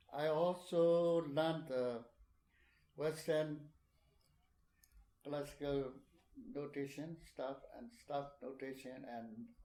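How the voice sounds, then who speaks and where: A man's fairly high voice with a dark, mellow tone, a very slow pace, long, frequent pauses, ordinary pitch variation and big swings in loudness. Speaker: puppeteer. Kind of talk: oral history interview answer.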